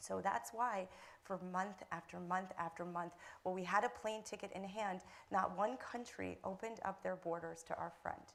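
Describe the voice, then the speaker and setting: Speaking at a medium pitch with ordinary pitch variation, this woman has an unremarkable speaking voice. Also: moderate pace. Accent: American. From United States. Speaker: filmmaker and humanitarian campaigner. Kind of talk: panel discussion.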